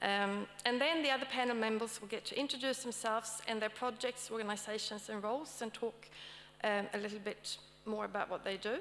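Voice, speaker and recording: A fairly high-pitched woman's voice at a fairly quick pace, fairly even in intonation, over noticeable background noise. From Sweden. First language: Swedish. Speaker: academic panel moderator. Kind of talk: conference talk. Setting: stage with audience. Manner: hesitant, with many fillers.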